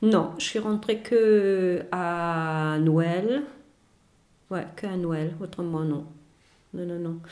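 With a German accent, a woman talks at a very slow pace and a fairly low pitch, using ordinary pitch variation and long, frequent pauses amid audible room echo. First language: German (speaking French). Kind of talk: casual chat.

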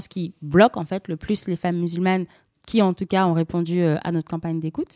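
A dark, mellow voice at a moderate pace, dry and close with no echo, on a very clean recording with a silent background. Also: woman. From France, of Senegalese family. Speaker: activist, association trainer. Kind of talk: radio interview.

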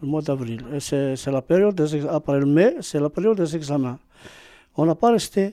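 A man with an Arabic accent talks at a moderate pace in a fairly high, dark, mellow voice with lively intonation. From Algeria. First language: Arabic (speaking French). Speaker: immigrant parent. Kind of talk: testimony. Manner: halting.

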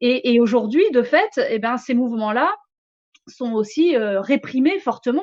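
A woman's high voice moves very slowly with lively intonation. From France, Picardy and southern France. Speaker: economics lecturer and activist spokesperson. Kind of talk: interview. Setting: live stream studio.

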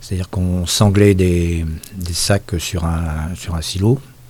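A man speaks fairly slowly in a very deep, low voice with a dark, mellow tone. His delivery is somewhat breathy, with fairly even intonation. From Brittany, Finistère. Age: 60s. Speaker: former mill laborer. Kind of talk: oral history interview. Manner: halting.

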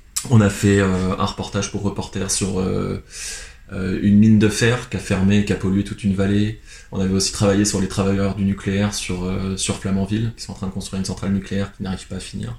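In a flat monotone, a man with a fairly low voice speaks fairly quickly. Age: 20s. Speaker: photographer. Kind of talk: interview. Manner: hesitant, many fillers.

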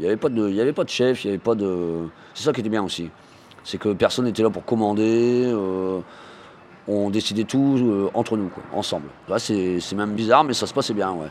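The man's voice sits fairly low, with ordinary pitch variation. He keeps a moderate pace. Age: 40s. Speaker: unemployed worker. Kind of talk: interview testimony. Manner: hesitant, many fillers.

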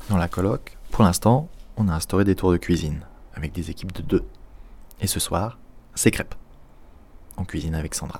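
Somewhat breathy, a man with a very deep, low pitch speaks with long, frequent pauses. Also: ordinary pitch variation, moderate pace. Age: 20s. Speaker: podcast host. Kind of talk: casual language lesson. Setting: at home.

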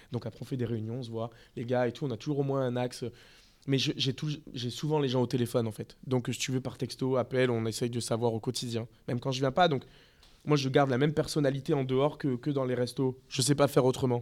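A man with a medium pitch is captured on a very clean recording against a silent background. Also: fairly even intonation, fairly quick pace. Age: 30s. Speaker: restaurant owner. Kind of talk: interview. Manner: hesitant.

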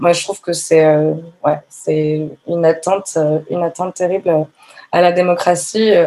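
A woman's dark, mellow, fairly low voice, monotone and flat, at a fairly slow pace with long, frequent pauses. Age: 30s. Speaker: yoga teacher and feminist activist. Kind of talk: testimony. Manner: halting.

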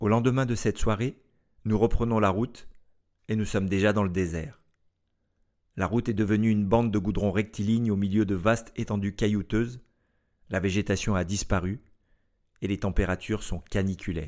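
Long, frequent pauses from a man with a fairly low pitch and fairly even intonation, at a moderate pace on a very clean recording with a silent background. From France. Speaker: podcast host. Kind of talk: scripted narration.

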